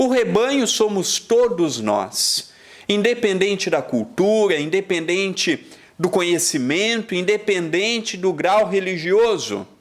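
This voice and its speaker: With a Brazilian accent, a man speaks at a high pitch and a very slow pace, keeping his loudness very even. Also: ordinary pitch variation. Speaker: spiritist lecturer. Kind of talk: lecture.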